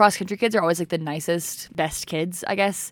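A woman with an American accent and a fairly low pitch uses an ordinary speaking voice, speaking at a fairly quick pace with fairly even intonation on a very clean recording with a silent background. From Utah. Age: 20s. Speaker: podcaster. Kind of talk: casual monologue. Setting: home recording.

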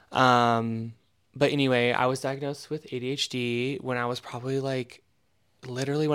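Speaking with an American accent, a man keeps a medium pitch. His intonation is monotone and flat. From Eastern Oregon, US. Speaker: leather designer and podcast co-host. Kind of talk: casual chat.

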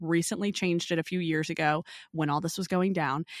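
A woman talks at a fairly quick pace. Her voice is fairly low and her intonation is monotone and flat. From Louisiana. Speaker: fashion podcast host. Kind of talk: solo podcast monologue. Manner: casual, filler-heavy.

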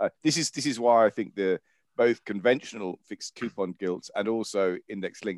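At a moderate pace, a speaker uses a plain, everyday voice with ordinary pitch variation, recorded dry and close with no echo. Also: man, medium pitch for a man. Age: 50s. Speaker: fund manager. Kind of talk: casual chat.

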